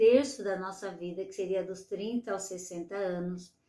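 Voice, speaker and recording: A woman speaks in an unremarkable speaking voice at medium pitch. Her pace is fairly slow, with ordinary pitch variation. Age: 60s. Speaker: retired nurse, aging coach. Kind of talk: online masterclass lecture.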